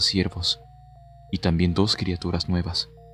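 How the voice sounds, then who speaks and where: Music plays underneath as someone talks at a moderate pace. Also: man. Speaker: narrator. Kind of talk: read horror story narration.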